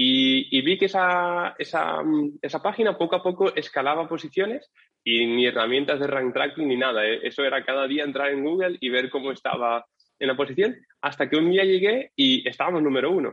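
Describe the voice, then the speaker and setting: Speaking fairly quickly in a normal speaking voice, a man with a fairly high pitch shows ordinary pitch variation. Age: 20s. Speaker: SEO agency founder. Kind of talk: interview.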